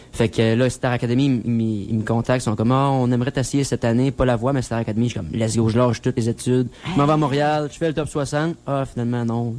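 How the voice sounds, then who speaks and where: A man at medium pitch with a Quebec accent, very fast with hardly any pauses, fairly even intonation, and noticeable background noise. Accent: Québécois French. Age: 20s. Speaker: country singer. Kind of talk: radio interview.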